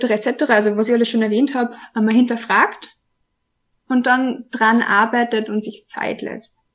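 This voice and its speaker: A woman in an Austrian accent, fairly high in pitch, with monotone, flat intonation. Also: fairly slow pace. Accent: Austrian, noticeable. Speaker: trainee sex counselor. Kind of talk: casual interview. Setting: video podcast.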